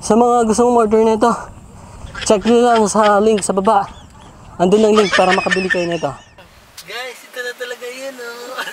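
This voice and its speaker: Over noticeable background noise, the speech moves at a moderate pace with long, frequent pauses. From Philippines, Isabela / Nueva Vizcaya region. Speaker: car vlogger. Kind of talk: casual vlog talk to camera. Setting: outdoors, walking and jogging away from camera. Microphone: wireless clip-on mic, cheap, tested at distance.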